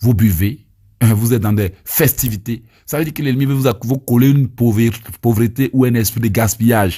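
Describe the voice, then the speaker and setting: A man with an Ivorian accent speaks at a moderate pace in a medium pitch, his dark, mellow tone somewhat breathy, with ordinary pitch variation on a very clean recording against a silent background. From Côte d'Ivoire. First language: Abé (speaking French). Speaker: evangelist preacher. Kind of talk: teaching and prayer. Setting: recorded voice note.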